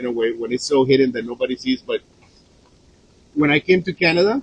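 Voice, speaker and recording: A man with a Spanish accent and a fairly high pitch is heard in a dry, close recording with no echo. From Colombia. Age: 40s. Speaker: chef and vlogger. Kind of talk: casual talk to live viewers. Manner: halting, many fillers.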